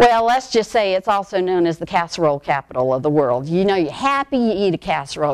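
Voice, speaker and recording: Lively in intonation, a woman with an American accent speaks at a very fast pace. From US South, Charleston, South Carolina. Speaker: medical education manager. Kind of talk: conference talk. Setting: stage with audience.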